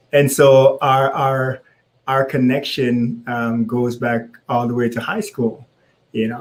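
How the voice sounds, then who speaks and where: A man with a Jamaican accent, medium in pitch, flat and monotone at a fairly slow pace. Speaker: co-host, husband. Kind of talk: casual live-stream chat. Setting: live social media video. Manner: slow, deliberately paced.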